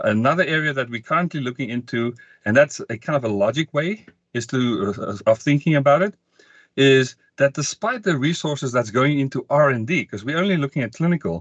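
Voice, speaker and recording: A man talks at a fairly quick pace with lively intonation and a fairly high pitch. The sound is dry and close with no echo, and the background is quiet. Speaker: sales training presenter. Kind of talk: webinar presentation. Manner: fast.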